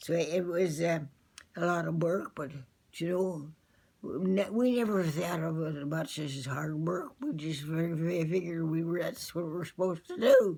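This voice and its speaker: A woman talks at a fairly slow pace in a dark, mellow tone. Her pitch is fairly low, with ordinary variation. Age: 80s+. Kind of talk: interview answer. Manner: hesitant, slow.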